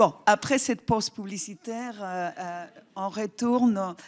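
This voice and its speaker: In a non-native accent, a woman speaks at a fairly high pitch with lively intonation on a very clean recording with a silent background. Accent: foreign accent in French. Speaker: public health official. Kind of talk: conference talk. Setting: stage with audience. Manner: hesitant, many fillers.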